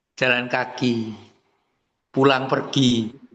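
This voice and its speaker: A man is speaking. His pace is very slow. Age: 70s. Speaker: webinar participant, retired teacher. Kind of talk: casual webinar Q&A.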